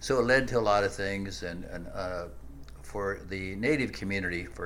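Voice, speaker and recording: Audible room echo surrounds a man's very deep, low voice with an American accent. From US Midwest, Nebraska. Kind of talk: interview.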